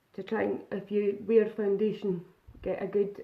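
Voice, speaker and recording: A Scottish-accented woman at a moderate pace, her intonation monotone and flat. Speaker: makeup vlogger. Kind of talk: live makeup tutorial. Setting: live stream. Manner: casual, chatty.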